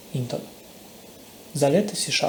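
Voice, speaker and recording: A man's voice, with ordinary pitch variation and a moderate pace, is accompanied by noticeable background noise. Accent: non-native. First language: not Polish (speaking Polish). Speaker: programming course instructor. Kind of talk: tutorial.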